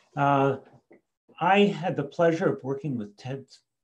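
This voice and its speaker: A man speaks in an American accent at a fairly high pitch. His voice is somewhat breathy, with lively intonation and a moderate pace. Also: quiet background. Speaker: education author and speaker; speaker. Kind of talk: talk with presentation and Q&A. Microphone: video call.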